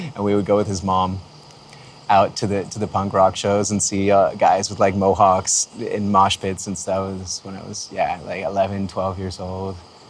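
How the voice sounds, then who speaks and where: Against noticeable background noise, a man with a Canadian accent speaks at a moderate pace in a relaxed tone, his fairly low voice monotone and flat, with big swings in loudness. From Canada, Windsor Ontario. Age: 30s. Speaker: music producer. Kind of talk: casual talk to camera. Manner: relaxed, many fillers.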